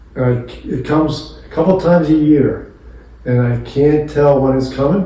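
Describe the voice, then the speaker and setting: A man with a fairly high pitch and fairly even intonation at a moderate pace, plus audible room echo and noticeable background noise. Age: 70s. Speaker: retired attorney. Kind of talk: casual chat. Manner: halting.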